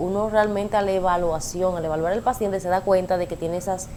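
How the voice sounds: A woman's fairly low-pitched voice with fairly even intonation.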